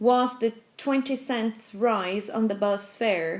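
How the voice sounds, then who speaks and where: A woman with a Brazilian accent speaks in a high voice. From Brazil, São Paulo. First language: Portuguese. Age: 20s. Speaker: protester, economic consultant. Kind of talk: documentary interview testimony.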